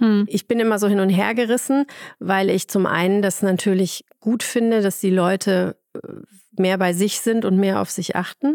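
A woman uses an ordinary speaking voice at a moderate pace, with fairly even intonation and very even loudness. The very clean recording is dry and close, with no echo and a silent background. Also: medium pitch for a woman. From Ruhr area, Germany. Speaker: head physician in obstetrics. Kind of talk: casual interview.

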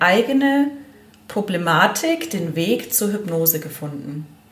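Audible room echo and noticeable background noise throughout. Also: woman. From Allgäu, southern Germany. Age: 40s. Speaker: hypnotherapist. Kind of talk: interview.

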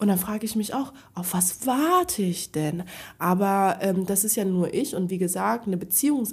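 A woman speaks at a moderate pace with lively intonation and a medium pitch. Her voice is somewhat breathy, and the recording is very clean with a silent background. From Frankfurt, Germany. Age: 30s. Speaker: podcast guest. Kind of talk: casual chat.

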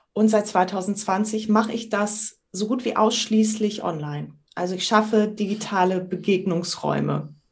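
A woman with an ordinary speaking voice talks at a fairly slow pace in a medium pitch, with fairly even intonation and hardly any pauses. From northern Germany, island of Sylt. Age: 50s. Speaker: trainer, coach and improv actress. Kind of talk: podcast interview. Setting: video call.

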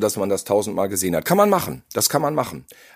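Speaking very fast, a man talks with vocal fry. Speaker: podcast co-host, horror film critic. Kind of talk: casual chat.

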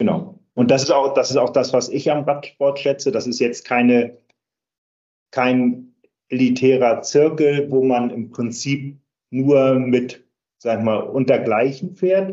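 Ordinary pitch variation runs through speech delivered at a very slow pace. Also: man, medium pitch for a man. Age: 60s. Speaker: charity cycling team captain. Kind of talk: interview.

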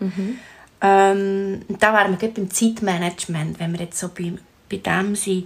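A woman speaks in a Swiss accent, somewhat breathy, at a fairly slow pace. Her intonation is monotone and flat. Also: medium pitch for a woman, big swings in loudness. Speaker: podcast host. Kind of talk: interview.

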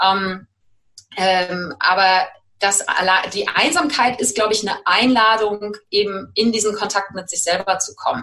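A woman speaks in a normal speaking voice at medium pitch. Her pitch varies in an ordinary way, and her pace is fairly slow. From Germany, Cologne. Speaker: life coach. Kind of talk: interview.

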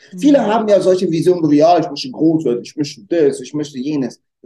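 A man speaks at a high pitch in a dark, mellow tone. His pitch swings very widely. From Germany, North Rhine-Westphalia (Lower Rhine area). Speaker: restaurant owner and trained educator. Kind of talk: interview chat. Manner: energetic.

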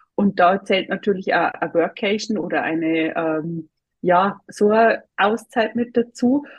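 A woman's medium-pitched voice moves at a fairly slow pace, its pitch varying in an ordinary way. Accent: Bavarian. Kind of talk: interview.

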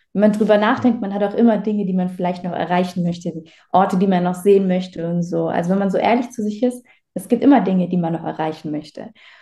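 Her tone dark and mellow, a woman speaks at a fairly quick pace in a somewhat breathy voice. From Baden-Württemberg, Germany. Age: 20s. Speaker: agency owner, client testimonial. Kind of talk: testimonial interview.

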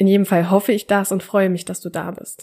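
On a very clean recording with a silent background, a woman speaks at a medium pitch and a fairly quick pace with monotone, flat intonation. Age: 20s. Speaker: podcast host, student. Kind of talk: personal monologue.

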